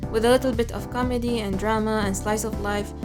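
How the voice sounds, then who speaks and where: Someone speaks at a fairly quick pace with music in the background. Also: woman. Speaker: webtoon artist and drawing course instructor. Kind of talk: casual talk to camera. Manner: monotonous.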